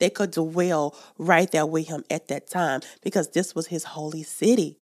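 A woman speaks in an American accent at a fairly low pitch with an animated tone. The recording is very clean, with a silent background. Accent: country dialect. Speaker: podcast host. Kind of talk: Bible teaching. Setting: studio.

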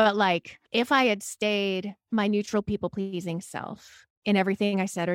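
Recorded very cleanly against a silent background, with a dry, close sound and no echo, a woman speaks at a moderate pace in a bubbly tone at medium pitch. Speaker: therapist and private practice coach. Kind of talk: casual chat.

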